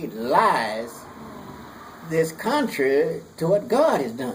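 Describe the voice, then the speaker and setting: Amid noticeable background noise, a man with an American accent speaks very slowly, his fairly high pitch swinging very widely. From United States. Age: 80s+. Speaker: war veteran. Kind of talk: interview answer.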